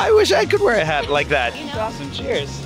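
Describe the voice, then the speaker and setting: Set against clear music in the background, the speech moves at a fairly quick pace with a dry sound and no echo. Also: man. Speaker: host and reporter. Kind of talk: casual travel and food show talk. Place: street. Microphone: handheld.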